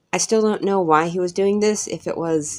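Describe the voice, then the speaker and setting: Music is audible in the background. A woman talks at a moderate pace, her pitch swinging very widely. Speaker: TV show reviewer. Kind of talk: spoken video review.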